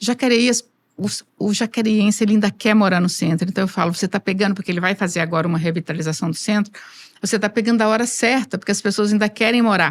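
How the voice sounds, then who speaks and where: Ordinary pitch variation and very even loudness mark a woman speaking at medium pitch and a very fast pace. The recording is very clean with a silent background. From Brazil, rural interior. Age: 60s. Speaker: engineer, construction association president. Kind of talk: interview.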